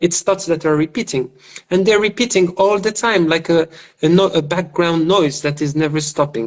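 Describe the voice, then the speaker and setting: Loudness stays very even as the speaker moves at a moderate pace with ordinary pitch variation. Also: man, high pitch for a man. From Morocco. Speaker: spiritual teacher and public speaker. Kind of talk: interview conversation on spirituality. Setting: live video call. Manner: halting, with repetitions and fillers.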